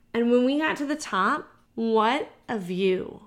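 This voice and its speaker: Lively intonation from a woman with a fairly high pitch, in a very clean recording with a silent background. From US South (Georgia). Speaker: podcast host, breast cancer survivor. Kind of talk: solo podcast monologue.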